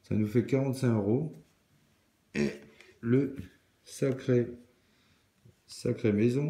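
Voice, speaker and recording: Pausing long and often, a man speaks at a very slow pace in a dark, mellow tone with ordinary pitch variation. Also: medium pitch for a man. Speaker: scratch card video creator. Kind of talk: casual solo commentary.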